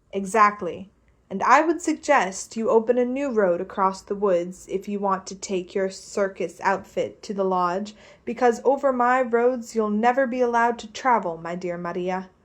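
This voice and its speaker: A woman's put-on character voice, shaky and medium-pitched, at a moderate pace, with ordinary pitch variation and big swings in loudness. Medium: read story. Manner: gruff, domineering.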